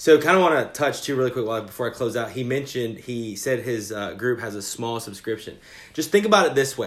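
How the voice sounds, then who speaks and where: This man rushes along at a very fast speed. His voice falls at a medium pitch. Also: ordinary pitch variation. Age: 30s. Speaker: podcast host. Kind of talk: interview. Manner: halting, many fillers.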